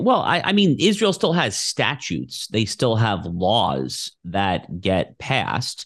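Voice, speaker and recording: Against a quiet background, a man talks at a very slow pace with hardly any pauses. His loudness stays very even. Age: 30s. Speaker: opinion editor and constitutional lawyer. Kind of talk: interview.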